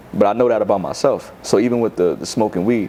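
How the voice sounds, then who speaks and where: A man with a New York accent at a very fast pace, ordinary pitch variation and noticeable background noise. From New York City, Bronx. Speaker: rapper. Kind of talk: interview. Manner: casual, filler-heavy.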